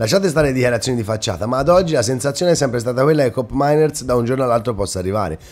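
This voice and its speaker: A very fast, animated delivery in a Tuscan accent with lively intonation. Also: man. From Italy, Romagna (Rimini), later Tuscany; Romagna, Italy. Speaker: football YouTuber. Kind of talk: casual monologue to viewers. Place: home room. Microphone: webcam.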